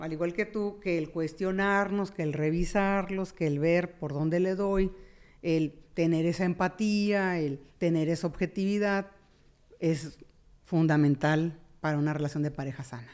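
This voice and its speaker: A woman talks at a fairly slow pace with a normal speaking voice. Her pitch is fairly low, with ordinary pitch variation. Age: 50s. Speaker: therapist. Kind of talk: casual chat.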